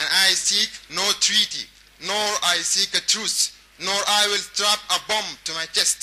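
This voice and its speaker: Against noticeable background noise, a man talks in a high pitch with monotone, flat intonation. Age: 20s. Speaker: performance poet. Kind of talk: spoken word poetry.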